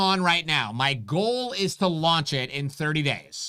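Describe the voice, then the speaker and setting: Loud and bright with a sharp edge, a man's voice moves through very wide pitch swings at a fairly slow pace on a very clean recording with a silent background. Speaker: concealed carry instructor, channel host. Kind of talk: live stream Q&A chat. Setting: live stream.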